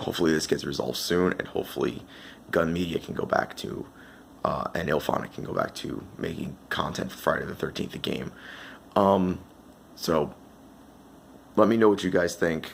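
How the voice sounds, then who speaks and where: A quiet man's voice, very deep and low in pitch, with long, frequent pauses. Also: ordinary pitch variation, moderate pace. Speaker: gaming commentator. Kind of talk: casual talk to camera.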